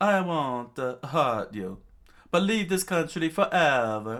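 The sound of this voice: A put-on character voice with a fairly bright tone speaks at a slow pace. Its pitch swings in big leaps. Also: man, fairly high pitch for a man.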